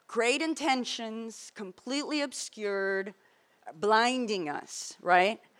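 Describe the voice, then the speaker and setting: Speaking at a very slow pace, a woman has a bright, sharp tone on a very clean recording with a silent background. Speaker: journalist. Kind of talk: panel talk, storytelling. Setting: conference panel.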